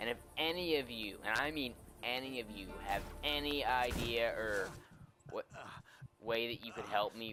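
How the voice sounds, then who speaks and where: The man's tone is sad. His pitch varies in an ordinary way. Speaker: gaming YouTuber. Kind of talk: casual channel update while gaming. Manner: mellow, dull-sounding; sounds melodramatic and sad.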